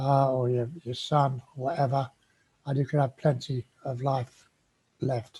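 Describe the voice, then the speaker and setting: A man with a South Wales accent speaks at medium pitch in a somewhat breathy, monotone voice with flat intonation. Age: 70s. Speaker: COPD patient vlogger. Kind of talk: personal advice monologue. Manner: halting.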